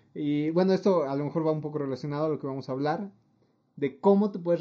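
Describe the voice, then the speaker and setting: A man talks very fast with a Mexican accent and a dark, mellow tone. His pitch varies in an ordinary way. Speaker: podcast co-host. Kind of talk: casual chat.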